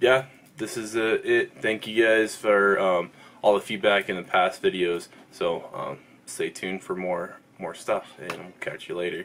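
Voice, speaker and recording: A man speaks at a fairly slow pace with big swings in loudness, over light background noise. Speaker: fitness vlogger. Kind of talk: casual vlog chat. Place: home room. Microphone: phone near.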